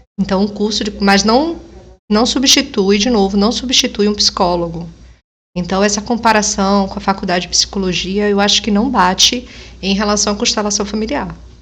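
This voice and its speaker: With a medium pitch, this woman's voice shows ordinary pitch variation. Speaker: family constellation therapist, reaction video host. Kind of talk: reaction video commentary. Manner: slow.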